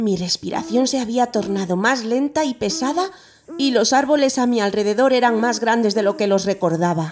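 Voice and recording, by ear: Natural-voiced reading aloud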